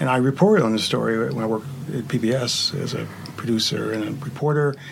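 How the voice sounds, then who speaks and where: With noticeable background noise behind him, a man speaks at a fairly high pitch. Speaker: TV writer and director. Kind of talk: panel interview, casual chat. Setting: studio.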